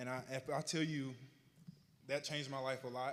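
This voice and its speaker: Here is a man with a Southern US accent. His pitch is medium. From Arkansas, US South. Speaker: honoree telling his life story. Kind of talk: public speech, personal testimony. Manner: slightly slurred from retainers.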